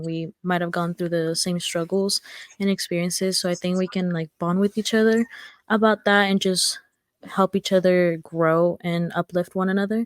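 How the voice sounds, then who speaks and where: Speaking at a moderate pace with a Spanish accent, a woman keeps her intonation fairly even, and the sound is dry and close with no echo. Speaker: nursing student, sorority member. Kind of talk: casual chat.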